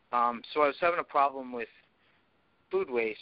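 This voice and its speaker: Fairly quick in pace and fairly even in intonation, this is a plain, everyday voice. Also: man. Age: 30s. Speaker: former cage fighter and strength coach. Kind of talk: casual chat.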